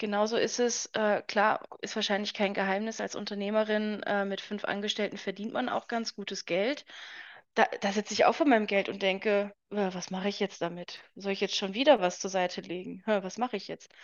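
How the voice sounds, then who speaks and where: At a moderate pace, a woman with an unremarkable speaking voice talks at a medium pitch with fairly even intonation. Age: 20s. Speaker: author and entrepreneur. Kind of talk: casual interview chat.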